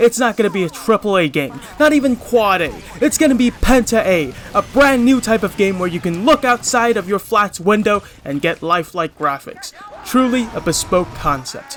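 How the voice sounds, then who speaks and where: With music in the background, a man talks at a moderate pace in a high voice with very wide pitch swings. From Hong Kong. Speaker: gaming commentator. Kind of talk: video commentary.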